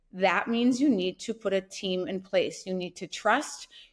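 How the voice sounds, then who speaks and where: A woman speaks in a plain, everyday voice with an American accent, at a moderate pace and medium pitch with ordinary pitch variation. The recording is very clean, with a silent background. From US Midwest, North Dakota. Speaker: entrepreneur. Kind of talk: casual interview.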